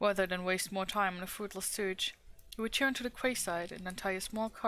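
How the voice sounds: With fairly even intonation, the words are read in a natural reading voice.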